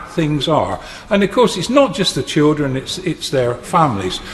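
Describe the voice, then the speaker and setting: A man speaks with a British accent. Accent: British English, formal. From England. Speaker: member of parliament. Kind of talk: parliamentary speech. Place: hall. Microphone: podium.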